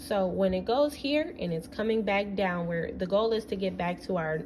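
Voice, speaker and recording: A woman talks at a moderate pace in a medium pitch. Noticeable background noise runs underneath. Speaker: student presenter. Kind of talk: class presentation explaining a topic. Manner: hesitant, with fillers.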